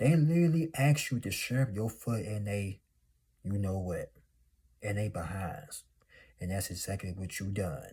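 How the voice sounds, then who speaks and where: Fairly slow and full of long, frequent pauses, a man speaks with lively intonation. His fairly low voice is dark, mellow and somewhat breathy. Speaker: motivational YouTuber. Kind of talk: motivational monologue. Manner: animated.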